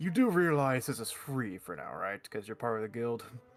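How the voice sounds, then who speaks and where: A man does a put-on character voice at medium pitch, with lively intonation and a moderate pace. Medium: actual play. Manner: wry, joking.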